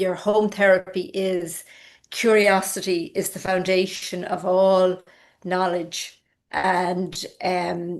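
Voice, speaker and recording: With monotone, flat intonation, a woman talks at a medium pitch. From rural Ireland. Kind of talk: online lecture.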